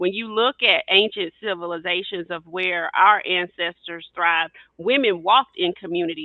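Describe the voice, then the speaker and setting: A woman's medium-pitched voice with a Southern US accent, fairly quick pace and ordinary pitch variation. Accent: Southern US twang. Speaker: podcast co-host, educator. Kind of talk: panel discussion.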